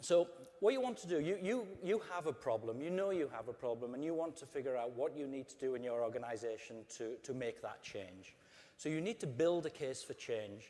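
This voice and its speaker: With an English accent, a man talks at a fairly quick pace and fairly high pitch. His intonation is lively, and his tone is dark and mellow. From England. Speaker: customer service executive. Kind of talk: conference talk.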